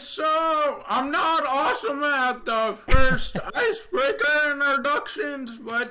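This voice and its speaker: A man with an American accent projects his raised voice at an extremely high pitch and a very slow pace, with noticeable background noise behind him. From North Carolina. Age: 20s. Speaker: design engineer, deaf guest. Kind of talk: interview.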